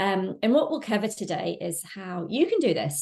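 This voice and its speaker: Over a quiet background, a woman speaks in a somewhat breathy voice. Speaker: online business course presenter. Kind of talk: webinar sales presentation. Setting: live webinar with chat. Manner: fast.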